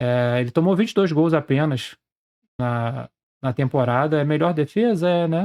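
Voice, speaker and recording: A man's fairly high voice in a Brazilian accent, in a very clean recording with a silent background and a dry, close sound with no echo. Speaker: sports betting trader and youtuber. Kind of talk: casual screen-share tutorial.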